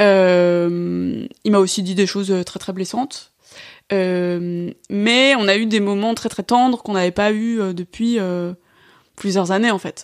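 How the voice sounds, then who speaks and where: Her pitch variation stays ordinary. This woman's voice rests at a medium pitch. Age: 20s. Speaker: activist, guest sharing breakup experience. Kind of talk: casual interview, personal testimony. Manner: hesitant, many fillers and repetitions.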